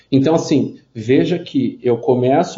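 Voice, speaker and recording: A somewhat breathy man speaks with fairly high pitch and ordinary pitch variation. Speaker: digital marketing consultant for healthcare. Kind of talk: casual interview. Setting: remote call over internet. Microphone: unstable internet connection.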